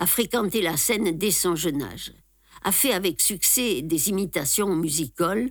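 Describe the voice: What you hear is plain reading aloud.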